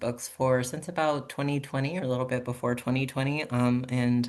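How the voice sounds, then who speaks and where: A man speaks at medium pitch and a moderate pace, his intonation monotone and flat. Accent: American. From US Southeast (Alabama, Georgia, Tennessee). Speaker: children's book author. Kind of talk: podcast interview.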